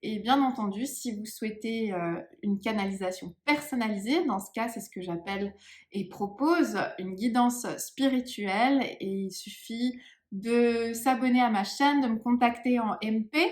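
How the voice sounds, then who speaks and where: A woman speaks with a fairly high pitch and ordinary pitch variation at a fairly slow pace. Her voice is somewhat breathy, with big swings in loudness. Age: 30s. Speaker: psychic medium. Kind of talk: channeling session. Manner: hesitant, many fillers.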